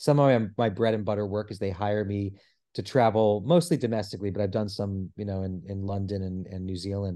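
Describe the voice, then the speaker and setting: A man's fairly low voice, dark and mellow in tone, with fairly even intonation and a quiet background. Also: fairly quick pace. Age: 40s. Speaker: actor and celebrity impersonator. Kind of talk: casual chat.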